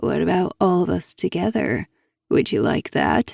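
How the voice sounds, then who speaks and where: In a put-on character voice, the speaker is soft-spoken and raspy, with a low pitch and a moderate pace. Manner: quietly taunting, sleazy.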